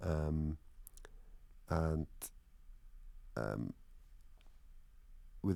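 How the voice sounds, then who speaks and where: A man speaks with a Welsh accent. His pitch is very deep and low. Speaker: musician. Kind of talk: interview. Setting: radio studio. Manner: halting, many fillers.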